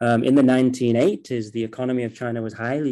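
In a Mancunian accent, a man speaks at medium pitch and a moderate pace, his dark, mellow tone carrying fairly even intonation over a quiet background. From Manchester, England. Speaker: postgraduate researcher on China, former news journalist. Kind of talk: interview. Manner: hesitant, many fillers.

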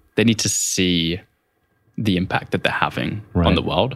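Here a man speaks with a very deep, low pitch. His pace is fairly quick. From Essex, England. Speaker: entrepreneur and MBA student. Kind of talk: casual interview.

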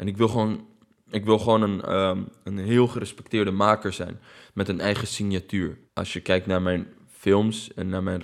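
In a very clean recording with a silent background, a man speaks in a plain, everyday voice at a fairly low pitch. His pace is moderate and his intonation fairly even. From Netherlands, of Palestinian family. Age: 30s. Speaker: documentary maker. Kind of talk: interview.

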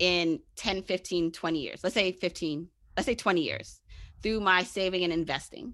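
Over a quiet background, a woman with an American accent speaks at a medium pitch in a bright, sharp tone. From Brooklyn, New York. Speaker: personal finance expert. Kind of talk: interview.

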